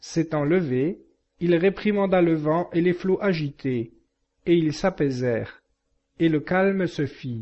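Speaking at a very slow pace with long, frequent pauses, a man uses ordinary pitch variation. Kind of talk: audiobook reading of scripture, solemn and steady. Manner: formal, measured, reverent; even-paced, narrating with little animation.

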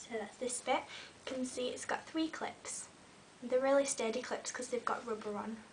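The delivery keeps a moderate pace with fairly even intonation. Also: woman, high pitch for a woman. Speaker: beauty vlogger. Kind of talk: tutorial. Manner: casual, friendly.

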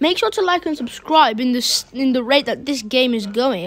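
A woman's high-pitched voice comes through with noticeable background noise around it. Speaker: gaming YouTuber. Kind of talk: gameplay commentary. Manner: casual, rambling.

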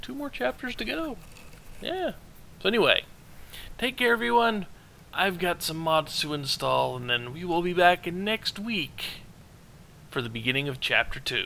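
A man's high-pitched voice has a bright, sharp tone and very wide pitch swings. He keeps a moderate pace, broken by long, frequent pauses. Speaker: gaming video creator. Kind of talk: let's play commentary. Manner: casual, rambling.

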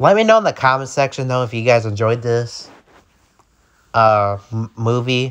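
A man at medium pitch speaks in an angry tone with fairly even intonation. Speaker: horror movie YouTuber. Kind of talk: angry rant. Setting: video commentary over pictures. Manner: angry, repetitive, insulting, loud and heated; casual, conversational, filler-heavy.

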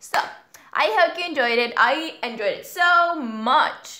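Bright and sharp, the tone carries a raised, projected voice whose intonation is lively. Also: woman, quiet background. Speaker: youtuber. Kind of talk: casual reaction vlog chat. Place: home room. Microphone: webcam.

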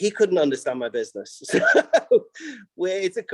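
The man speaks with a Manchester accent and lively intonation, in a dry, close sound with no echo. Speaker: business owner. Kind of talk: public meeting testimony.

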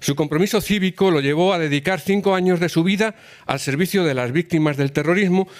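In a plain, everyday voice, a man talks at a fairly quick pace with lively intonation over a quiet background. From rural Spain. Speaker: cultural institution president, former politician; former politician. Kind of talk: formal introduction speech. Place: hall. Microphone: podium.

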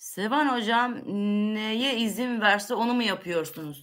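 Over a quiet background, a woman speaks at a fairly slow pace with lively intonation. Her tone is bright and sharp, her pitch fairly high. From Turkey. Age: 50s. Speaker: livestream host answering viewer questions. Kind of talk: casual Q&A livestream. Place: kitchen. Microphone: webcam.

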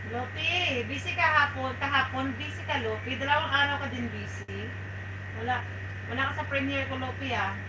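Speech comes at a fairly slow pace. Noticeable background noise can be heard. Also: woman. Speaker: livestream host. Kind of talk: casual livestream chat reading viewer comments. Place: home room.

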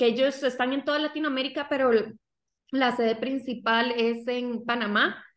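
A woman speaks at a high pitch with fairly even intonation. There is audible room echo, though the background is quiet. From Costa Rica. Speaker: digital marketing agency co-founder. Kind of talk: interview. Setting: video call. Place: home room. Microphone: video call.

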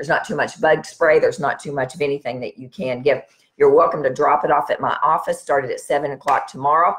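A woman talks at a very fast pace. Her loudness swings widely. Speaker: wellness practitioner host. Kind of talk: live stream talk to viewers. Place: home room. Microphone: webcam.

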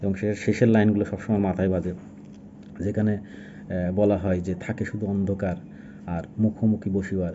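This man's voice sits at a fairly low pitch. The intonation stays monotone and flat. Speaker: book reviewer. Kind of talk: book review monologue. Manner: casual, halting.

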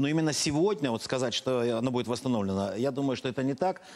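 A man talks at a very fast pace with medium pitch and ordinary pitch variation against a quiet background. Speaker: politician guest. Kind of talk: heated debate. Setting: studio. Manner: animated. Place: studio. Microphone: lapel.

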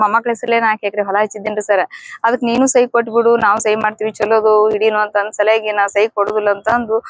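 A woman speaks in a monotone, flat intonation at a very even loudness, in a dry, close sound with no echo. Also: fairly high pitch for a woman. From north Karnataka, Bilagi taluk. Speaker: victim's sister. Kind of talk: news interview.

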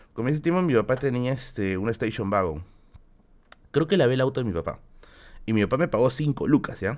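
With very wide pitch swings, a man talks at a fairly quick pace. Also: quiet background. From Peru. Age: 30s. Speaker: YouTuber streamer. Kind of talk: casual live stream Q&A. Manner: animated. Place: home room.

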